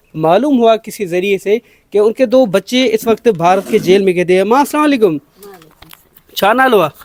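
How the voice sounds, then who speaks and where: Recorded with a dry, close sound and no echo, a man talks in a high voice with ordinary pitch variation. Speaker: journalist. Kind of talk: news report narration and interview questions.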